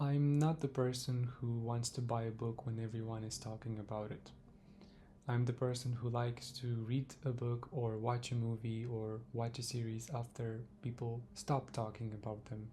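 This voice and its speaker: A somewhat breathy voice with a dark, mellow tone, monotone, flat intonation and a Romanian accent. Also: man, medium pitch for a man, moderate pace. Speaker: book reviewer. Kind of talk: casual book review monologue.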